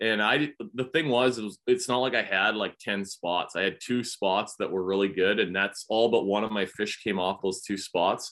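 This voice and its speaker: With a Canadian accent, a man talks at a moderate pace in an unremarkable speaking voice with ordinary pitch variation. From Canada. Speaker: professional bass angler. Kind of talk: casual chat.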